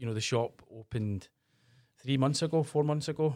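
A fairly quick delivery in a Glasgow accent, ordinary pitch variation, on a very clean recording with a silent background. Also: man. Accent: Scottish (Glasgow area). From Scotland, northeast of Glasgow. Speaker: podcast host. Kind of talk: casual interview. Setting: small studio.

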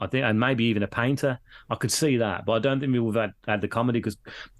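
In a Birmingham accent, a man talks at a very fast pace with a medium pitch on a very clean recording with a silent background. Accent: Birmingham (Brummie). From Birmingham, England. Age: 40s. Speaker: podcaster. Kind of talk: casual chat.

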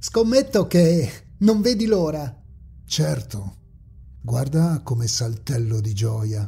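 The delivery is very slow, with long, frequent pauses. Its tone is dramatic and menacing. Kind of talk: scripted horror audiobook narration, read aloud in third person.

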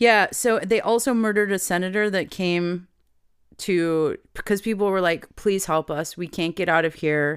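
The recording is very clean with a silent background as a woman at a medium pitch talks at a moderate speed, her pitch varying in an ordinary way. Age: 40s. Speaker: podcast co-host. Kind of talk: casual chat. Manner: animated.

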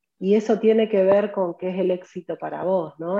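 A woman with a Rioplatense accent speaks at a moderate pace and medium pitch, her dark, mellow tone paired with fairly even intonation and a dry, close sound with no echo. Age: 40s. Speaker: professional organizer and content creator. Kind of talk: interview conversation.

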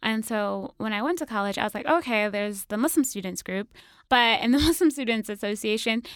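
In a very clean recording with a silent background, a woman with an American accent talks fairly quickly in a normal speaking voice, her fairly high pitch showing ordinary variation. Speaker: podcaster. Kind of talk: casual interview.

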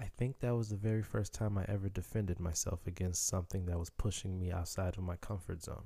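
With a Haitian accent, a man speaks at a fairly quick pace in a fairly low, dark, mellow, somewhat breathy voice with fairly even intonation, captured in a very clean recording with a silent background. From Chicago, US. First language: Haitian Creole. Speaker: podcaster telling life story. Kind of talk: personal storytelling monologue.

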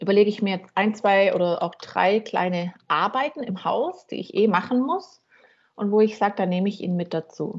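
This is an ordinary speaking voice at a moderate pace. The pitch varies in an ordinary way. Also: woman, medium pitch for a woman. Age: 40s. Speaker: coach and counselor. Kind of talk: casual interview.

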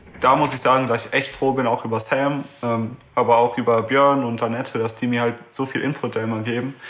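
Monotone, flat intonation runs through a man's speech. He keeps a medium pitch and a moderate pace. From Düsseldorf, Germany. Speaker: pianist and event organizer. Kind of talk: casual interview.

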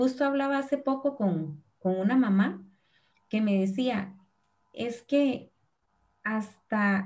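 With a Costa Rican accent, a woman speaks at a very slow pace. Her pitch is fairly high and her intonation lively. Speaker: preschool teacher. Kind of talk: live-stream panel conversation.

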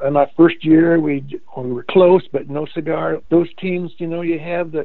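Speaking in a Midwestern American accent, a man keeps a moderate pace. His fairly high pitch stays monotone and flat. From Indiana, US Midwest. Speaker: retired basketball coach and teacher. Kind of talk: casual interview, storytelling.

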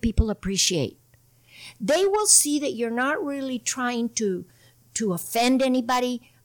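In an American accent, a woman speaks at a high pitch and a moderate pace. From Imperial Valley, California. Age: 60s. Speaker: political candidate, water district. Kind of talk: casual interview conversation.

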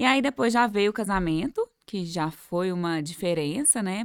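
A woman's plain, everyday voice at a fairly slow pace, with lively intonation and a dry, close sound with no echo. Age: 30s. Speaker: entrepreneur and mother. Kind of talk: casual interview.

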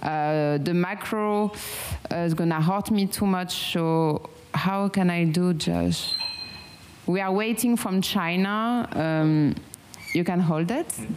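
In a French accent, a woman speaks very slowly at a fairly low pitch. Her loudness stays very even over noticeable background noise. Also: ordinary pitch variation. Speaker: meditation guide. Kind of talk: guided meditation. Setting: home with pet birds nearby.

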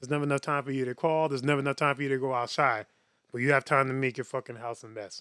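Very fast speech comes from a man with a bright, sharp tone and flat, monotone intonation. The sound is dry and close, with no echo. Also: medium pitch for a man. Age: 30s. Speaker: yo-yo performer and podcast co-host. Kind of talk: casual chat.

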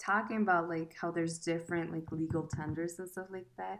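With a fairly low pitch and ordinary pitch variation, a woman speaks in a normal speaking voice on a very clean recording with a silent background. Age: 20s. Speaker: student and podcast guest. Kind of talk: casual chat.

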